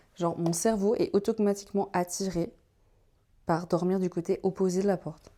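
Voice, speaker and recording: A woman with a Vaud accent, a medium pitch and a dark, mellow tone, at a moderate pace with long, frequent pauses, on a very clean recording with a silent background. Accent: Swiss Vaud French. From Switzerland, canton of Vaud. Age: 20s. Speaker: vlogger. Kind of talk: casual vlog chat. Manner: animated.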